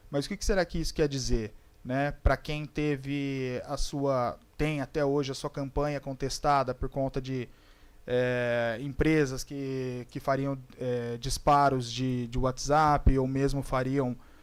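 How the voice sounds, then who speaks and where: In a very clean recording with a silent background, a man talks very slowly at medium pitch with monotone, flat intonation. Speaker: psychologist and academic debate panelist. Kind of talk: panel debate talk.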